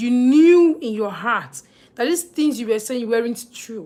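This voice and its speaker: With a Nigerian accent, a woman speaks at a fairly slow pace in a fairly high pitch with lively intonation. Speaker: livestreamer. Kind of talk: live stream chat. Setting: live stream.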